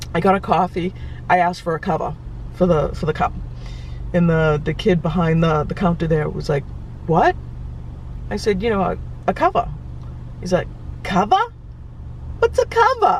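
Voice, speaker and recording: A woman with a Boston accent at a moderate pace, with long, frequent pauses. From Boston area, Massachusetts. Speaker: travel vlogger. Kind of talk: casual vlog talk. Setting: in a car. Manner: hesitant, many fillers.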